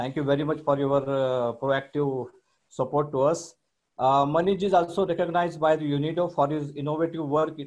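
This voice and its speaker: A man speaks with fairly even intonation against a quiet background. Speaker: webinar host. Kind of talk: formal introduction speech. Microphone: video call.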